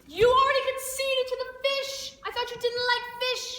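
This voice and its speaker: In a put-on character voice, a woman squeaks at an extremely high pitch, monotone and flat, at a moderate pace with clear echo. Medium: stage play.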